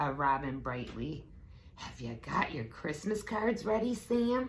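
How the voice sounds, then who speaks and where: In a raspy, put-on character voice of middle pitch, the speaker moves at a fairly slow pace with very wide pitch swings over clear background noise. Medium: read story. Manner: bright.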